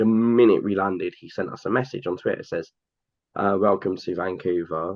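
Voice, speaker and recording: A man speaks with a London accent at a moderate pace. His pitch is very deep and low. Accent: sounds like a Londoner. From England, Cambridge area. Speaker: hockey fan, airport worker. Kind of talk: casual podcast interview. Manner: animated, with frequent fillers.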